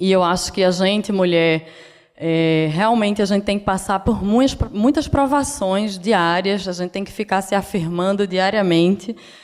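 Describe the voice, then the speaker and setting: With a northeastern Brazilian accent, a woman speaks at a moderate pace and medium pitch with ordinary pitch variation over noticeable background noise. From Brazil, Northeast (Pernambuco). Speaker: designer. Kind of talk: lecture. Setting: stage with audience.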